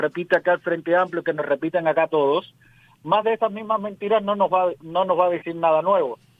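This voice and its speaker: This man has a high voice, ordinary pitch variation and a fairly quick pace. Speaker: radio host and political commentator. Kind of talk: remote interview.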